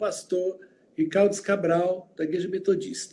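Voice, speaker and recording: Taking a fairly slow pace, a man talks in a dark, mellow tone. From Goiânia, Brazil (born in Uberlândia). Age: 60s. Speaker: pastor. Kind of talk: interview.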